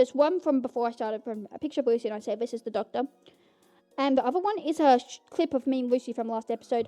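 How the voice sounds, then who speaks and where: A loud woman, high-pitched and animated, at a very fast pace with ordinary pitch variation and a dry, close sound with no echo. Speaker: podcast host. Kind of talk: casual chat. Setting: home recording in bedroom.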